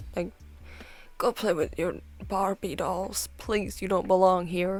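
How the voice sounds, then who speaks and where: Medium-pitched female speech at a fairly slow pace, with fairly even intonation and vocal fry, on a very clean recording with a silent background. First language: not English. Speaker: art and chat video creator. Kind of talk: casual chat. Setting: at home while drawing. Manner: quieter than usual, not alone at home; casual, filler-heavy.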